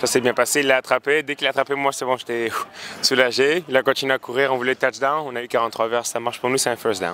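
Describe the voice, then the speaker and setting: Very fast speech from a man at a medium pitch, fairly even in intonation, with noticeable background noise. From France. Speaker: university football kicker. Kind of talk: post-game interview. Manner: hesitant, many fillers.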